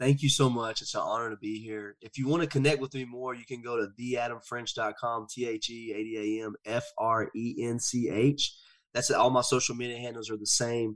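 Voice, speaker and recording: On a very clean recording with a silent background, a man with a Southern US accent talks at a fairly quick pace and medium pitch in a monotone, flat intonation. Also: hardly any pauses. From US South, rural. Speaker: motivational speaker and men's counselor. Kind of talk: personal testimony in interview.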